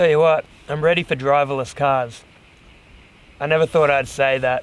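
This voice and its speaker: Fairly even intonation in a man's fairly high voice, moving at a moderate pace. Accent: Australian. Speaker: hiking vlogger. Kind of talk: outdoor vlog narration. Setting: outdoors. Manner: distracted.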